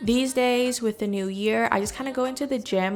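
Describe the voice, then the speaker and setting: Ordinary pitch variation and a fairly quick pace in a plain, everyday voice. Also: woman. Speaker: fitness vlogger. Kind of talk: workout vlog voiceover. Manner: casual.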